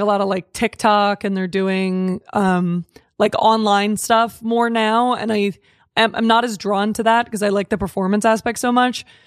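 A woman's fairly high, fairly even voice at a moderate pace, an ordinary speaking voice, on a very clean recording with a silent background. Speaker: comedian. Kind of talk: casual chat. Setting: studio.

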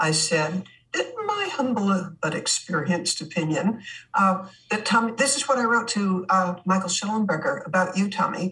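Against noticeable background noise, a woman with a medium-pitched voice talks at a moderate pace with ordinary pitch variation. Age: 80s+. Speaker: author and anti-trafficking activist. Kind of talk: casual interview chat. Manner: halting, with many fillers.

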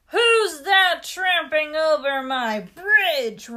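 A bellowing, put-on character voice at a very slow pace. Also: woman, extremely high pitch for a woman. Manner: mean, roaring.

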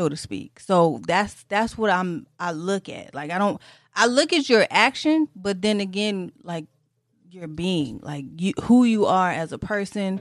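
Over a quiet background, a woman talks at a fairly slow pace with a medium pitch. Her intonation is lively and her loudness swings widely. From Detroit. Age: 30s. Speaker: podcast host. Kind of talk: casual interview chat.

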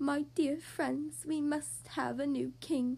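A woman speaks at a fairly slow pace in a shaky, put-on character voice.

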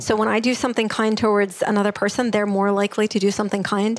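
A woman speaks at a very fast pace in a fairly high pitch with monotone, flat intonation, over noticeable background noise. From former Soviet Union (Russia). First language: Russian. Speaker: workplace happiness trainer. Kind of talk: interview.

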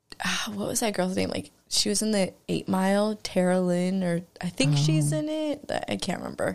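Speaking at a moderate pace with hardly any pauses, a woman uses lively intonation at a medium pitch. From Northern California, Marin County. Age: 30s. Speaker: artist and community organizer. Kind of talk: casual chat.

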